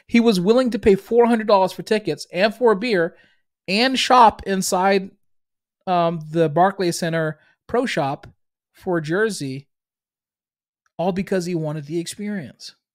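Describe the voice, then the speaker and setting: Recorded very cleanly against a silent background, a man with an American accent speaks with long, frequent pauses. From Boston, US Northeast. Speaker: business podcast host and coach. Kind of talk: solo monologue, business talk. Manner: filler-heavy, conversational.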